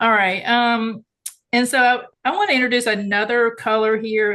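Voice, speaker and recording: A woman speaks with a Southern US accent. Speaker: art instructor. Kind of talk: tutorial. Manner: casual, chatty.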